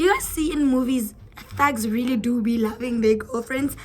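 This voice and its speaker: A woman talks at a moderate pace with an animated tone and a high pitch, with noticeable background noise. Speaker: YouTuber. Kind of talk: casual vlog talk to camera.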